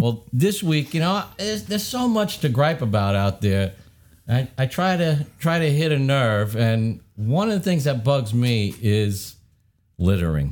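A man talks at a fairly slow pace with very even loudness. His pitch swings very widely. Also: medium pitch for a man. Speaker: podcast host, woodworker.

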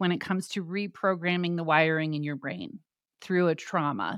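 A woman with an American accent uses a normal speaking voice, a fairly low pitch and ordinary pitch variation at a moderate pace. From Arizona, US. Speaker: podcast producer and host. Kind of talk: casual interview chat.

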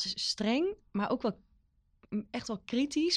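A woman's ordinary speaking voice, lively in intonation, at a moderate pace against a quiet background. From Netherlands, Veluwe village. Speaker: librarian. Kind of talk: casual chat.

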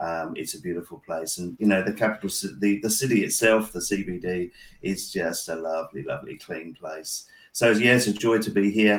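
A man with a fairly low voice talks at a moderate pace, his pitch varying in an ordinary way. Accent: English. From England. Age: 60s. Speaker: pastor. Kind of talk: interview conversation. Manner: halting, many fillers.

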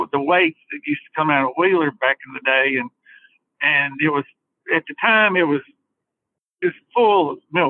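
A man with an Alabama accent talks at a fairly quick pace. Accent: Southern US (Alabama). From northern Alabama (Hartselle area). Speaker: fishing guide. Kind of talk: casual chat.

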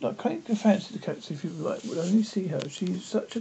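Someone is reading aloud in a natural voice.

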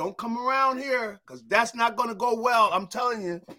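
A man uses a raised, projected voice at an extremely high pitch. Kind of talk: casual sports chat.

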